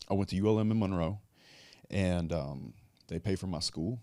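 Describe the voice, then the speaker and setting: A man with a Louisiana accent speaks with a very deep, low voice and ordinary pitch variation. The recording is very clean, with a silent background. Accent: southern US (Louisiana). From US South, south Louisiana. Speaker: businessman and online content creator. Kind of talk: casual interview chat.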